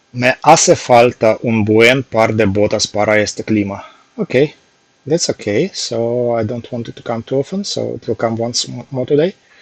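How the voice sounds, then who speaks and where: A medium-pitched man with a strong Russian accent, moderate pace, ordinary pitch variation, big swings in loudness, and a dry, close sound with no echo. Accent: heavy Russian. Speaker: software developer, language learner streamer. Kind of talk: casual live stream study session. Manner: halting.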